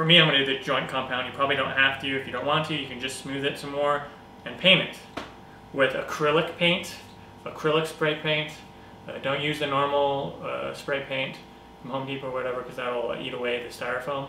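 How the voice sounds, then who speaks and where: A man's flat, monotone voice at a fairly quick pace, with audible room echo and light background noise. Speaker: craft tutorial maker. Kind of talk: tutorial. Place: home room. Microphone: camera far.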